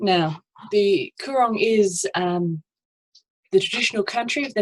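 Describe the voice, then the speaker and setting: The speaker has an Australian accent and ordinary pitch variation, heard in a dry, close sound with no echo. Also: woman. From South Australia. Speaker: estuarine ecologist and PhD student. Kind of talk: conference presentation.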